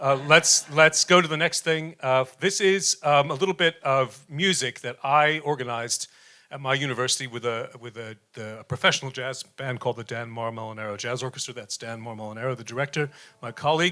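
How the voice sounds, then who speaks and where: In a New York accent, a man speaks at a fairly quick pace and medium pitch with ordinary pitch variation. His tone is bright and sharp, his loudness swings widely, and the recording is very clean with a silent background. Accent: New York American. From US, New York. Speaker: professor, jazz researcher. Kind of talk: panel presentation. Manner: fast; halting, many fillers.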